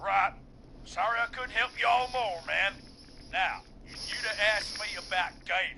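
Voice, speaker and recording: A man puts on a high-pitched character voice, drawling at a moderate pace with ordinary pitch variation. Long, frequent pauses break up his speech, and background noise is clearly audible. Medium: video game. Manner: casual, drawling, says man a lot.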